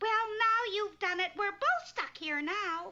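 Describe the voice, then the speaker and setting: The female-sounding voice is a squeaky, cartoonish character voice pitched extremely high. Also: fairly slow pace. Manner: dry, sarcastic.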